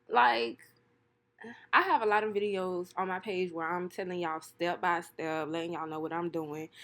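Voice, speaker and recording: The recording is very clean with a silent background. A woman talks at a fairly quick pace and medium pitch. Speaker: hair and wig vlogger. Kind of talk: casual voiceover. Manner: fast; animated.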